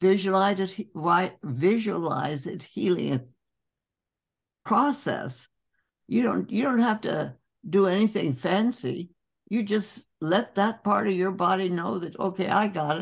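Over a quiet background, a woman speaks at a very slow pace with vocal fry. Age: 80s+. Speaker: doctor. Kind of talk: interview answer. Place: home room. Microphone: video call.

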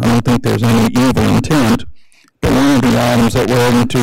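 With vocal fry and a monotone, flat intonation, a man speaks at a moderate pace in a dry sound with no echo. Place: hall. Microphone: podium.

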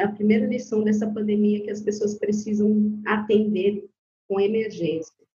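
A woman's somewhat breathy, dark, mellow voice, fairly high in pitch, at a moderate pace. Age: 40s. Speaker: Candomblé priestess. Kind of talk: casual interview.

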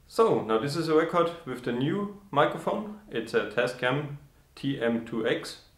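Audible room echo hangs around this man's voice. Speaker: woodworking channel host. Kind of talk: casual vlog chat. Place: workshop. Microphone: camera far.

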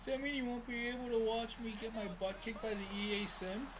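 A put-on character voice, whiny and fairly high, at a fairly quick pace over noticeable background noise. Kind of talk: dramatic, joking.

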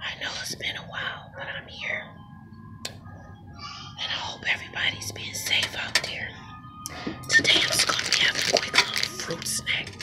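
Music plays in the background as the woman speaks at a moderate pace. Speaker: vlogger. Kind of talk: casual vlog chat. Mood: warm, calm. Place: garden. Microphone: phone near.

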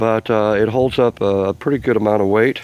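Recorded dry with no echo over light background noise, a man talks at a fairly low pitch and fairly slow pace with ordinary pitch variation. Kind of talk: casual show-and-tell tutorial. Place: garden. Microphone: phone near.

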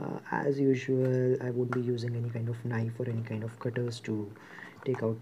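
Intonation is monotone and flat, with noticeable background noise present. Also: man. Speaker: presenter. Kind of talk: unboxing commentary. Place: shop.

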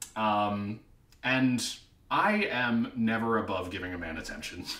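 In a room with audible echo, a man speaks at a fairly slow pace with a bright, sharp tone and ordinary pitch variation. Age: 20s. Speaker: freelance writer and theater teacher. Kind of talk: reality show casting audition talk to camera. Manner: upbeat, playful. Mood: playful, flirty humor. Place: home room. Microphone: webcam.

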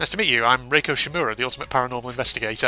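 Someone reads a text in a plain way. Pitch moves up and down in an ordinary fashion.

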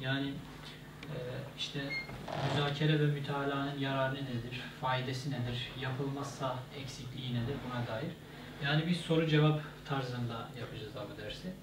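With long, frequent pauses, a man speaks at a moderate pace in a monotone, flat intonation over noticeable background noise. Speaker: presenter. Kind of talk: lecture. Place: office. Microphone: camera far.

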